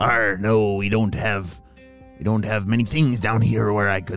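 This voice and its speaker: Someone performs in a put-on character voice. Clear music plays in the background. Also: man, fairly low pitch for a man, fairly slow pace. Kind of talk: pirate speech. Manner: gruff pirate growl.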